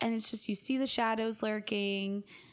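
A woman at medium pitch, animated tone, very clean recording with a silent background. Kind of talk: casual chat, podcast banter. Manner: animated, joking.

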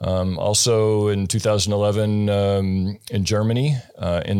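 A man with an American accent has an unremarkable speaking voice. His pitch is fairly low and his intonation fairly even. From US rural farming state. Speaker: investor. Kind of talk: interview. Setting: studio.

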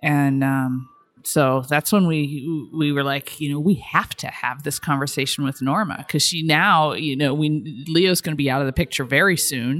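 A woman speaks at a very deep, low pitch. Her pace is moderate with hardly any pauses. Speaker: traveler and family caregiver. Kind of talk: interview. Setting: hotel lobby.

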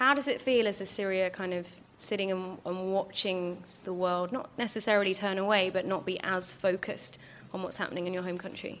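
At a fairly quick pace, a woman speaks in an unremarkable speaking voice with a medium pitch and fairly even intonation. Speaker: podcast host. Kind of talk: live interview on stage. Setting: stage with audience.

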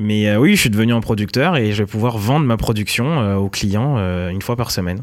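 A man's fairly low voice at a fairly quick pace, with ordinary pitch variation and hardly any pauses. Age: 30s. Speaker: mushroom farmer, entrepreneur. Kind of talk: interview. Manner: hesitant, many fillers.

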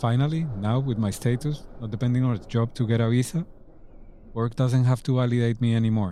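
Speaking with a Colombian accent, a man has a dark, mellow tone of medium pitch, a fairly quick pace and fairly even intonation. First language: Spanish. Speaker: podcast host. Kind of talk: scripted narration.

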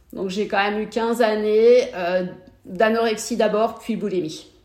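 Fairly even intonation accompanies a fairly slow pace of speech. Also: woman. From Brittany, France (Morbihan). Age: 40s. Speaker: amateur triathlete, mother of four. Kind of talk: interview conversation. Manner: hesitant, many repetitions.

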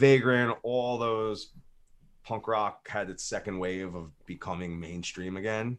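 Recorded very cleanly against a silent background, a man with an American accent uses an ordinary speaking voice at a fairly low pitch. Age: 40s. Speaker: punk musician. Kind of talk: casual interview.

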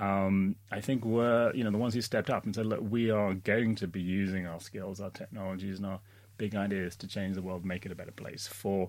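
An unremarkable speaking voice from a man, fairly low in pitch, fairly quick, with fairly even intonation. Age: 40s. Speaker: aging innovation entrepreneur. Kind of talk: casual chat. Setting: studio.

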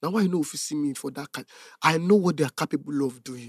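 The man's voice sits fairly high. His words come out very fast. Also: dry, close sound with no echo. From Nigeria, Lagos. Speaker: content creator. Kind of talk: casual chat.

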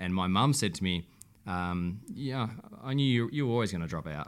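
The intonation is lively throughout. The accent is Australian. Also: man, very clean recording, silent background. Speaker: beauty brand co-founder. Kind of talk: interview. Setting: office.

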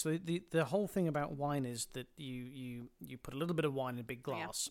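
This man speaks with a British accent at a fairly high pitch. His pace is moderate and his pitch varies in an ordinary way. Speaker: podcast guest.

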